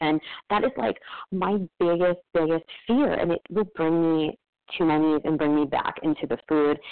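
A woman speaks with an American accent at a moderate pace, her pitch fairly low with ordinary variation. Her loudness stays very even. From New Jersey. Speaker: recovering overeater. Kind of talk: personal share. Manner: halting, many fillers.

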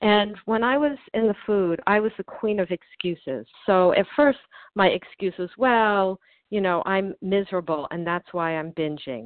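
A woman with an American accent, a plain, everyday voice, medium pitch, lively intonation and a moderate pace. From US Northeast. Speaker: twelve-step group member. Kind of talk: testimony. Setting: phone call.

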